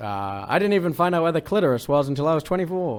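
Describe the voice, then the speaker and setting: Here is a man with an English accent. His intonation is lively. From England. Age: 20s. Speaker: comedian. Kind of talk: casual chat. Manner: halting.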